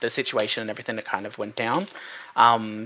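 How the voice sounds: This man's tone is bright and sharp. His pitch is fairly low and moves very little.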